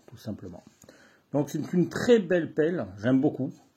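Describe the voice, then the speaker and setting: A man's dark, mellow tone comes through somewhat breathy. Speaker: bushcraft youtuber. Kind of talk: product review. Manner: casual.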